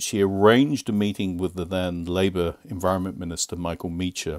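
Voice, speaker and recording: Against a silent background in a very clean recording, a man with a Northern Irish accent speaks in a very deep, low voice with fairly even intonation. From Northern Ireland, Newry. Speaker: EU lobbyist. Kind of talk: podcast interview.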